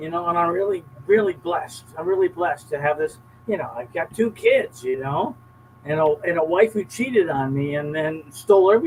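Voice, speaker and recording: The speaker talks at a fairly quick pace with ordinary pitch variation over noticeable background noise. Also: man, high pitch for a man. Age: 70s. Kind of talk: casual chat. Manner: repetitive, emphatic.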